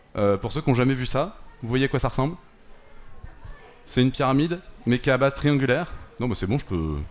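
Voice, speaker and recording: Speaking at a medium pitch, a man talks at a fairly quick pace with lively intonation, broken by long, frequent pauses. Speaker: math workshop animator. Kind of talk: interactive demonstration. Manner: soft-spoken; casual, conversational.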